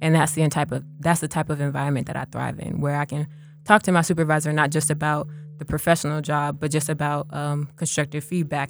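A woman with an American accent, very fast pace, fairly even intonation. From Buffalo, New York, later Charlotte. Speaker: college student and podcaster. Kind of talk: casual interview chat. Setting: studio. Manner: high-energy.

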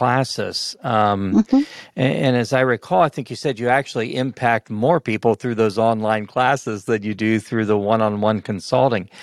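A man speaks at a medium pitch with ordinary pitch variation, in an unremarkable speaking voice. The sound is dry and close, with no echo. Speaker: podcast host. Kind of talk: casual interview with dad jokes.

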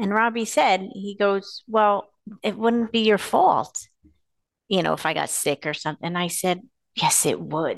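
Using an ordinary speaking voice, a woman talks at a fairly slow pace with medium pitch and ordinary pitch variation. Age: 50s. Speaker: podcast host. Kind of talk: casual chat.

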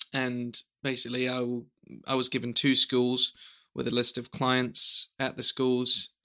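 A man with a New Zealand accent, medium pitch, bright and sharp tone, and a fairly slow pace. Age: 20s. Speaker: young teacher and videographer. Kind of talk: casual chat. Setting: home recording with family.

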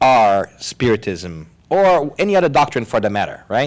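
A man's pitch swings very widely as he speaks at a moderate pace. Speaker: podcast host and moderator. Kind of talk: live panel discussion. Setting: stage with live audience. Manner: animated.

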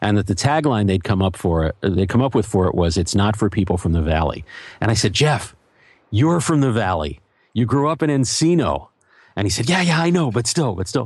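A man's somewhat breathy voice with very wide pitch swings and very even loudness. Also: fairly low pitch for a man, fairly quick pace. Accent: American. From Philadelphia, US. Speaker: journalist and podcaster. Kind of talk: interview conversation.

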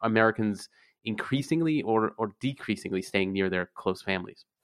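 A man talks at a moderate pace at a medium pitch, in a normal speaking voice. The background is quiet. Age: 30s. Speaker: podcast host, magazine editor. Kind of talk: casual chat.

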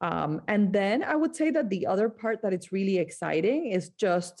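Against a quiet background, a woman speaks at a medium pitch. She has a Spanish accent and keeps a moderate pace. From Colombia, Barranquilla (Caribbean coast). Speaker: skincare entrepreneur. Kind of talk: interview.

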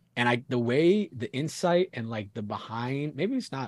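At a moderate pace, a man with an American accent speaks in a somewhat breathy voice. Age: 20s. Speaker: hardcore band frontman. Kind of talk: casual chat.

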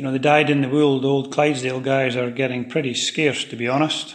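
A man's fairly high voice in a Scottish accent, fairly quick in pace and fairly even in intonation. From Fife, Scotland. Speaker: Clydesdale breeder and farmer. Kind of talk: interview.

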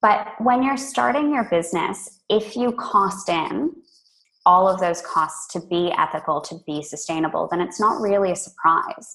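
Speaking at a moderate pace, a woman has an American accent and a medium pitch. Her pitch swings very widely. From California. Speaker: tea company co-founder. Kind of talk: interview.

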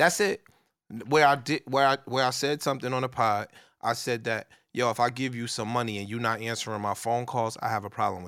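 A man's bright, sharp tone at a fairly quick pace, ordinary pitch variation and big swings in loudness, on a very clean recording with a silent background. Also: medium pitch for a man. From New Jersey, East Orange. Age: 40s. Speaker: podcast co-host appearing as guest. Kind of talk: casual chat. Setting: studio.

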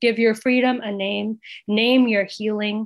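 The pace is moderate as a woman speaks at a fairly high pitch. Her intonation stays monotone and flat. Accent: General American. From India. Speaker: poet. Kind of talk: interview and poetry reading.

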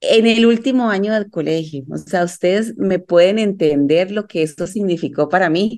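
Her voice is an unremarkable speaking voice: a woman at a medium pitch with ordinary pitch variation, talking at a moderate pace. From Colombia, Medellín. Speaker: life coach and yoga teacher, mother. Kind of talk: casual interview chat.

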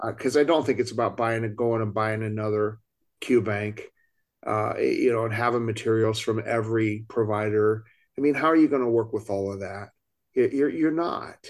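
A man speaks at a moderate pace and medium pitch with ordinary pitch variation, a plain, everyday voice. The recording is very clean with a silent background. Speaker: podcast co-host and CFP exam instructor. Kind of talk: casual roundtable chat.

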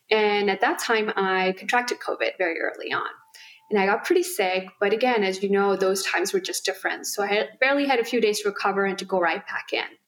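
A very fast-talking woman of medium pitch, with ordinary pitch variation and noticeable background noise. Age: 40s. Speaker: physician and integrative medicine director. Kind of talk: interview.

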